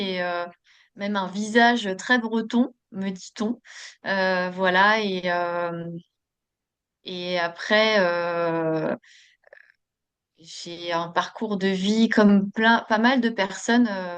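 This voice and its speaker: A woman's medium-pitched voice at a very slow pace, with long, frequent pauses. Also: fairly even intonation. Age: 40s. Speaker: podcast guest, Reiki practitioner. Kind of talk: interview. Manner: hesitant, many fillers.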